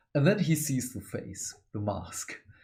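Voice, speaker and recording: A man speaks at a fairly slow pace with lively intonation and vocal fry. His pitch sits fairly high for a man. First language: not English. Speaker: book reviewer, hobby channel host. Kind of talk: book review monologue. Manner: animated.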